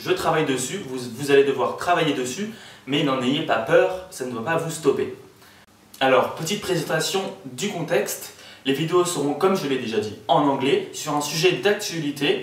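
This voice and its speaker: With noticeable background noise and audible room echo, a man speaks at a moderate pace in a fairly high pitch with lively intonation. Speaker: student tutor. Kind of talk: casual video explainer. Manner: hesitant, many fillers.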